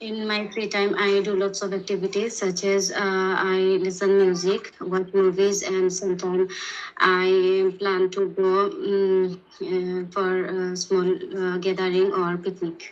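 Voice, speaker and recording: A woman at a medium pitch, monotone and flat in intonation, at a fairly slow pace. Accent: Sylheti. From Bangladesh, Sylhet. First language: Bengali (Sylheti). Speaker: language test candidate. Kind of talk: speaking exam answers. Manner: halting, many fillers.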